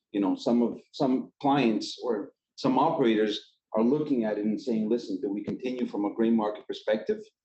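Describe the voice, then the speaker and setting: A man with a Spanish accent at a fairly quick pace. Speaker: lawyer. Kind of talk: webinar discussion.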